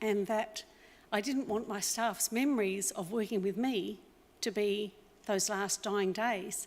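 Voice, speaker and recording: In an Australian accent, a woman talks at a fairly slow pace, her medium pitch carrying fairly even intonation. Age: 60s. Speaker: business owner. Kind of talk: acceptance speech. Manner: unscripted, with fillers.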